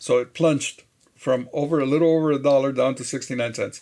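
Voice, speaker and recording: This man's voice sits at a fairly high pitch. His intonation stays fairly even. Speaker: day trader, video host. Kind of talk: trading recap commentary. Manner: casual, frequent hesitations with uh.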